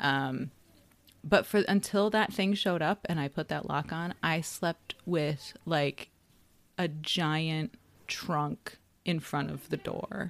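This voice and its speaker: This woman talks at a very slow pace in a General American accent. Her pitch is fairly low, with ordinary variation. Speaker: podcast co-host. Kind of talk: casual chat.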